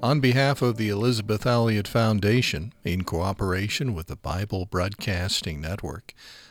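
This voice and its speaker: A plain, everyday voice at a moderate pace, on a very clean recording with a silent background. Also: man. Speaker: podcast host. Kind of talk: scripted narration.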